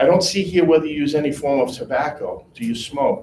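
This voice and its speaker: A somewhat breathy man with fairly high pitch speaks at a moderate pace. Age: 50s. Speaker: insurance sales trainer. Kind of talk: sales training session. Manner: animated.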